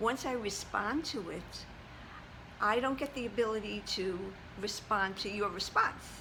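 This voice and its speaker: A woman with a medium-pitched voice talks at a fairly slow pace, with ordinary pitch variation. Room echo is audible around her. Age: 70s. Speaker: fashion vlogger. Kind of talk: casual chat. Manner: halting.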